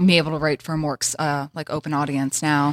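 Very fast speech from a woman with an American accent comes through with a dry, close sound and no echo. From US South. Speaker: journalist and host. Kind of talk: casual chat.

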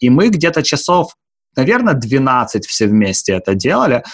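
A man's unremarkable speaking voice at a medium pitch, with lively intonation. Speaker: podcast co-host. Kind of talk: podcast interview.

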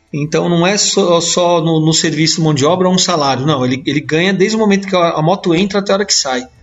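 With music in the background, a man talks at a very fast pace with hardly any pauses, a high pitch, ordinary pitch variation and very even loudness. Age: 40s. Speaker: mechanics instructor. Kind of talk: casual chat.

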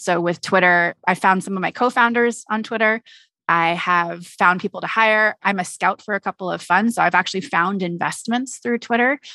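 In a Californian accent, a woman speaks at a moderate pace with a bright, sharp tone. Her pitch varies in an ordinary way, and the sound is dry and close with no echo. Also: medium pitch for a woman, quiet background. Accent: General American, Californian. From US West Coast, San Francisco Bay Area. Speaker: nonprofit CEO and co-founder. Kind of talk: interview.

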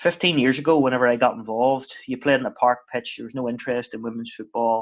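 Over a quiet background, a man with a Northern Irish accent talks at a fairly quick pace, his medium-pitched voice keeping a fairly even intonation. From Northern Ireland. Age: 30s. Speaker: football head coach. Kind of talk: casual interview chat. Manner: chatty, hesitant with repeated words.

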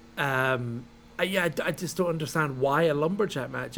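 This man speaks in a Scottish accent at a fairly high pitch. His intonation is lively. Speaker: wrestling podcast host. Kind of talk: casual chat.

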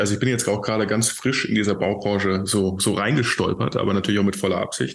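This man's pitch is fairly low. He speaks at a very fast pace with fairly even intonation. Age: 30s. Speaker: entrepreneur, CEO of a sustainable building company. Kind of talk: interview conversation.

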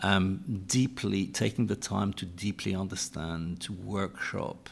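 This man has a very deep, low pitch and a European accent, and his intonation stays fairly even. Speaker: energy company executive. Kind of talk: panel discussion. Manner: halting, many repetitions and fillers.

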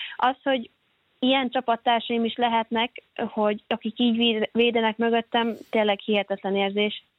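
A woman's fairly high-pitched voice at a moderate pace, with very even loudness and monotone, flat intonation. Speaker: handball player. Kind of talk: interview. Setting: phone call. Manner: hesitant, filler sounds.

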